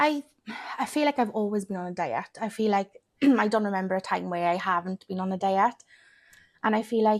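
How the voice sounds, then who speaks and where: A woman with a Welsh accent at a medium pitch and fairly quick pace, in a very clean recording with a silent background. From Wales. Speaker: weight loss content creator. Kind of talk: podcast interview.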